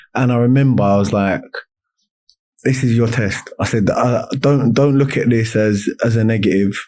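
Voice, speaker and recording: At a moderate pace, a man with a medium-pitched voice speaks in a dark, mellow tone with fairly even intonation. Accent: London. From South East London, Lewisham. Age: 30s. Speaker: semi-professional footballer. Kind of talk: casual chat. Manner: loud.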